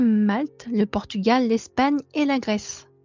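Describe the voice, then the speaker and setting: Over background music, a woman with a fairly high pitch speaks at a very slow pace. The sound is dry and close, without echo. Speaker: true crime youtuber. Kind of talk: scripted narration; casual chat. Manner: monotone; hesitant with fillers.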